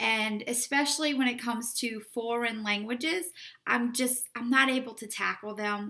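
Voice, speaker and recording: A woman with a New Orleans accent talks at a moderate pace. Her high pitch has a bright, sharp tone and ordinary pitch variation. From New Orleans, US South. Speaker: romance author. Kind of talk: casual book promotion vlog.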